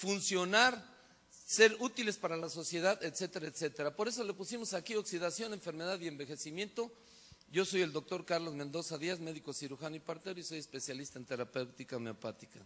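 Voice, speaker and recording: This man has a high pitch and lively intonation. He speaks at a fairly quick pace. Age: 60s. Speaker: physician and product presenter. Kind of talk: sales presentation.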